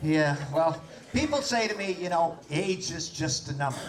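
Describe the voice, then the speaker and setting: A man with a high voice is heard with audible room echo and noticeable background noise. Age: 60s. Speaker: comedian. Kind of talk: stand-up. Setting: stage with audience.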